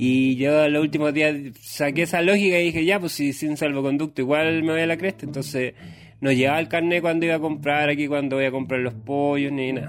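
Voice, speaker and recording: A Chilean accent at a fairly quick pace. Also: man, fairly high pitch for a man. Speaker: comedian podcaster. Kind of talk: comedic monologue. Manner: animated.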